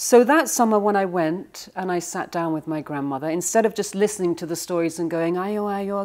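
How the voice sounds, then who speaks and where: The recording is very clean, with a silent background. Speech comes at a moderate pace with ordinary pitch variation. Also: woman. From England. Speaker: author. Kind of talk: interview.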